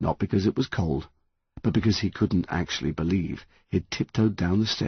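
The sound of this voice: An unforced reading voice, the background quiet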